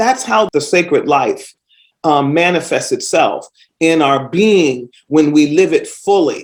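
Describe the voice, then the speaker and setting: In an American accent, a woman speaks at a very slow pace with very even loudness. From US East Coast. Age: 60s. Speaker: podcast host. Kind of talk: casual monologue.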